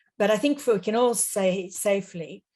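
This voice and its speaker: An Australian accent from a woman, somewhat breathy with a dark, mellow tone, at a moderate pace. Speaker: panelist, legal advocate. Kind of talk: webinar presentation. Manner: formal.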